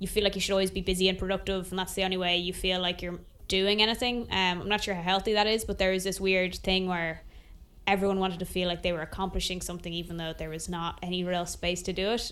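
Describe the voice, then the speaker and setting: Very fast, monotone speech from a woman with an Irish accent, the intonation flat throughout. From Ireland. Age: 20s. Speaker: singer-songwriter. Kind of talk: interview.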